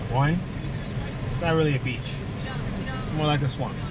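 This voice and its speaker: Loud background noise fills the clip. Through it, a man talks at a fairly slow pace. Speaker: vlogger's husband. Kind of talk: casual vlog chat. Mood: relaxed, joking. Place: car. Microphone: phone near.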